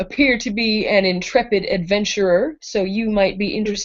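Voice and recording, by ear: The intonation stays fairly even while the speaker reads aloud in a natural voice.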